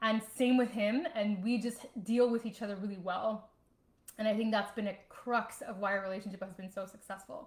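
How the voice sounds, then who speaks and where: The voice moves at a moderate pace with an animated tone and a somewhat breathy quality. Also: woman, fairly high pitch for a woman. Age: 30s. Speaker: online fitness coach and vlogger. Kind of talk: casual livestream talk. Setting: home livestream.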